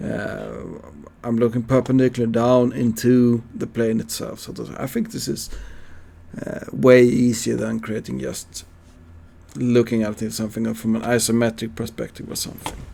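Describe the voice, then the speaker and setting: A man with a Swedish accent talks at a moderate pace. His loudness swings widely. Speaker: CAD teacher. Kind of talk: tutorial. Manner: halting.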